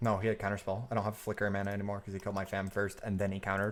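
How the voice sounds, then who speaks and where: A man speaks quietly at a very fast pace with a fairly low pitch. His intonation is monotone and flat. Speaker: streamer playing card game. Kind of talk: live gameplay commentary.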